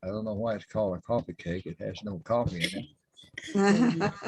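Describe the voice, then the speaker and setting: The sound is dry and close with no echo. A somewhat breathy man speaks at a moderate pace. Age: 90s. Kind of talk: casual chat.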